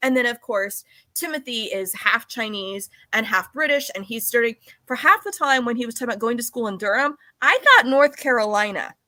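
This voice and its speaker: A woman with a Southern California accent, high-pitched with a bright, sharp tone, ordinary pitch variation and a fairly quick pace. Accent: Southern California, Valley Girl. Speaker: podcast host and novelist. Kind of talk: casual interview chat.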